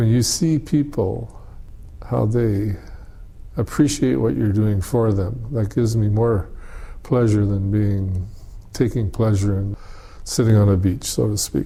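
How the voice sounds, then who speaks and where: With a Canadian accent, the speaker talks at a fairly slow pace with long, frequent pauses, lively intonation, and a somewhat breathy voice with a dark, mellow tone. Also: man, fairly low pitch for a man. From Canada. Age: 70s. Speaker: disaster relief volunteer leader. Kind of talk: interview.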